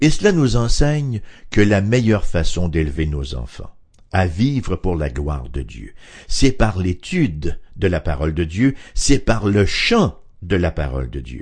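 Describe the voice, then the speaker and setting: Somewhat breathy, a man speaks in a very deep, low voice at a fairly slow pace. His pitch makes very wide swings. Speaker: radio Bible teacher. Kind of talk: radio Bible study talk.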